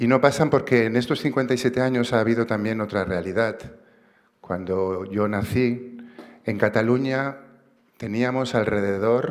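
The speaker is a man. The background is quiet. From Barcelona, Catalonia. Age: 50s. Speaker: activist and writer, award recipient. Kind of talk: acceptance speech. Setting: stage with audience. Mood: earnest, reflective. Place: stage. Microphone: podium.

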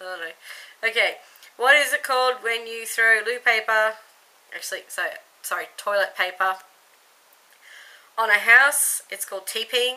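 Speaking in an Australian accent, a woman has a fairly high pitch and a bright, sharp tone with ordinary pitch variation. Her moderate pace is broken by long, frequent pauses, and her loudness swings widely. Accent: Australian accent, noticeable. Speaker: YouTube vlogger. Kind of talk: casual vlog, accent tag. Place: home room. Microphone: webcam.

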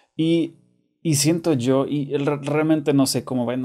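This man speaks with a Monterrey accent and fairly even intonation. His tone is dark and mellow. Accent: Monterrey (regio) Spanish. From Germany. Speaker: YouTuber. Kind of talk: casual monologue to camera. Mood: earnest, somewhat upset.

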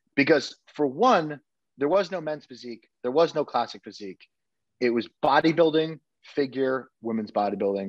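There is an American accent and lively intonation from this man. The background is quiet, and the sound is dry with no echo. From Connecticut. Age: 30s. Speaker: bodybuilder and dietitian coach; dietitian coach. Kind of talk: casual interview chat. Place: kitchen. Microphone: video call.

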